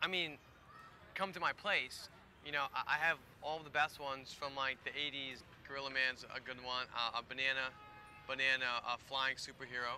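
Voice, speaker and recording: Talking at a moderate pace with long, frequent pauses, a man has a bright, sharp tone in a dry sound with no echo and light background noise. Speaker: actor playing awkward suitor. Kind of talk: scripted dialogue. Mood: nervous, awkward, eager. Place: garden.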